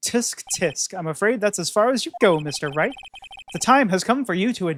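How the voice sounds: Lively intonation in a natural reading voice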